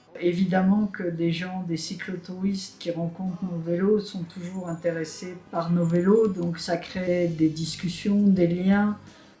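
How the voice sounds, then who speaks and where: A woman's fairly low, monotone, flat voice at a very slow pace with hardly any pauses, against noticeable background noise. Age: 60s. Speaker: solar bike traveler. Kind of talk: interview testimony.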